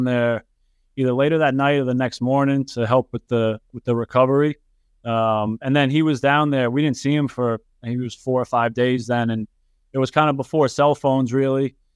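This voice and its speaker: A man with a New York accent talks in a monotone, flat intonation. The sound is dry and close with no echo, and the background is quiet. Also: medium pitch for a man, moderate pace. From New York, Yonkers. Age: 30s. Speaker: professional soccer goalkeeper. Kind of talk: interview.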